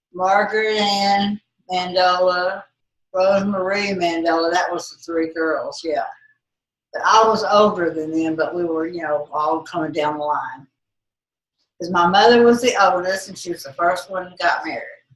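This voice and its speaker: At a moderate pace, a woman with a Texan accent speaks in a medium pitch with fairly even intonation. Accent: Texas Southern. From Texas. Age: 80s+. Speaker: grandmother interviewed by family. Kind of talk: family interview. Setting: family home visit.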